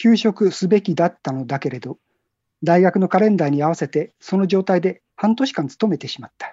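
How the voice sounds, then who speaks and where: Fairly low in pitch, a woman speaks with lively intonation at a moderate pace. Hers is an unremarkable speaking voice. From Tokyo area, Japan. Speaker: book cover designer. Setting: phone call.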